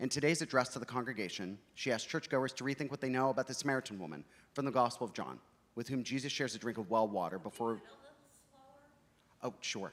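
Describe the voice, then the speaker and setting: A man's medium-pitched voice at a very fast pace, with ordinary pitch variation and long, frequent pauses. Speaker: author. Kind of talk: reading aloud.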